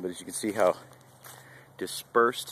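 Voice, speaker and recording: A man speaks at a fairly low pitch and a fairly slow pace. The sound is dry with no echo, over light background noise. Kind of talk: tutorial. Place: open country. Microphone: phone near.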